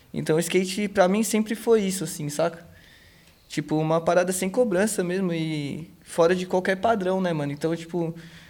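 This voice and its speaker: A man with a high pitch speaks at a moderate pace and keeps his intonation fairly even. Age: 20s. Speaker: skateboarder. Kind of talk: interview. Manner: casual slangy speech.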